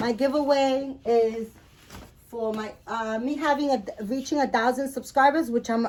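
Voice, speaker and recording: With a strong Spanish accent, a woman speaks at a high pitch and a fairly slow pace, with ordinary pitch variation. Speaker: doll collector vlogger. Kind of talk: casual show-and-tell vlog. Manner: halting, many fillers.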